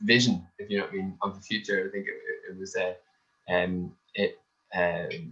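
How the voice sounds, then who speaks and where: The speaker is a man with an Irish accent. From Ireland. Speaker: tourism industry panelist. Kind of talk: panel discussion. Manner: halting, many fillers.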